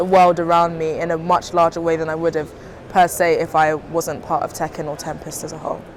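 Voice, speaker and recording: The speaker has a British accent and a flat, monotone delivery. The pace is moderate, and background noise is noticeable. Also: woman. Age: young. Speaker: early-career aerospace engineer. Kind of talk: recorded testimony.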